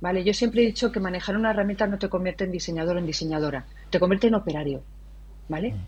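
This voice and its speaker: Very fast speech from a woman at a medium pitch, with vocal fry. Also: ordinary pitch variation. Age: 40s. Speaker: designer and education entrepreneur. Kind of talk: interview.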